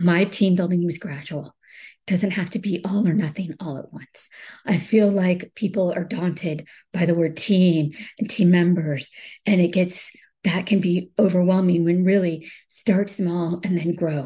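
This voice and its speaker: A woman's somewhat breathy, fairly low voice with a dark, mellow tone at a fairly slow pace. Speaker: business owner giving advice. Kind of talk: podcast monologue on team building. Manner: halting.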